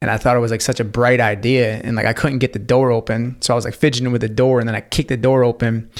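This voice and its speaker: In a very clean recording with a silent background, a man speaks very fast at a medium pitch in a monotone, flat intonation. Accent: American. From upstate New York. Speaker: intuitive life coach. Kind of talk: podcast interview. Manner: casual, many fillers.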